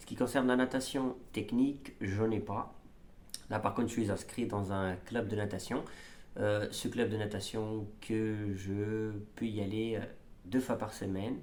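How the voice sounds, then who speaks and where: In a room with audible echo, a man with a fairly low pitch talks at a fairly slow pace with fairly even intonation. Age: 30s. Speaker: amateur triathlete vlogger. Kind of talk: casual vlog. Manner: halting, many fillers.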